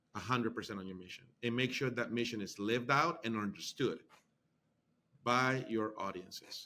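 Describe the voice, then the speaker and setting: Speaking at a moderate pace with a Spanish accent, the voice has a bright, sharp tone, ordinary pitch variation and big swings in loudness. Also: man, medium pitch for a man. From Honduras. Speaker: university marketing executive. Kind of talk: interview.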